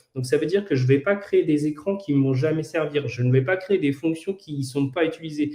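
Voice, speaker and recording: At a fairly quick pace, a man with a fairly high pitch and ordinary pitch variation sounds somewhat breathy. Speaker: no-code trainer. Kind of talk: tutorial. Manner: halting, many fillers and repetitions.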